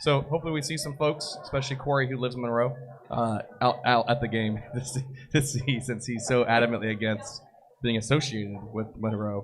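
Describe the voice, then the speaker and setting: Fairly even intonation from a medium-pitched male voice at a fairly quick pace, amid noticeable background noise. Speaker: soccer podcast host. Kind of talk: live podcast chat. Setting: live broadcast at a brewery party.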